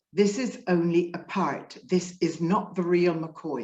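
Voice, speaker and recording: A woman's somewhat breathy voice at a very slow pace. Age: 60s. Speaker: spiritual coach. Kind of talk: interview. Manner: conversational.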